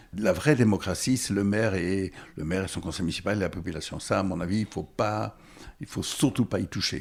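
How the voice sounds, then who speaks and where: The man's voice is very deep and low. His pitch varies in an ordinary way. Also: fairly quick pace. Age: 70s. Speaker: former mayor. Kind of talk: interview. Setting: bookshop. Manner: halting.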